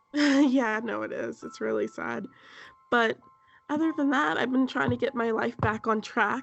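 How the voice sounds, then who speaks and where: A woman speaking at a fairly slow pace over background music. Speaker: podcast co-host. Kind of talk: casual chat.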